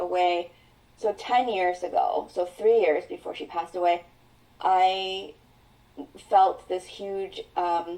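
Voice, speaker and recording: Her tone dark and mellow, a woman speaks at a very slow pace in a medium pitch with ordinary pitch variation. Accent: Mandarin. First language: Mandarin. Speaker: mental health coach. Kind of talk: interview.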